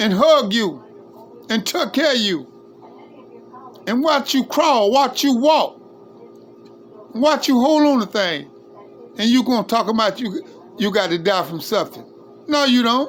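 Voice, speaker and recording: Music plays in the background as a man speaks at an extremely high pitch. He goes at a fairly slow pace with long, frequent pauses. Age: 60s. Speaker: livestreamer. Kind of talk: informal preaching monologue. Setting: live stream. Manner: impassioned.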